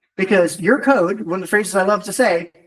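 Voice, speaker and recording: A man with an American accent speaks fairly quickly. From US. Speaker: tech conference speaker. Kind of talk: technical talk. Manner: fast; animated.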